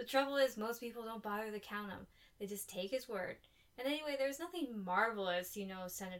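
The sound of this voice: This is spoken in an unforced reading voice.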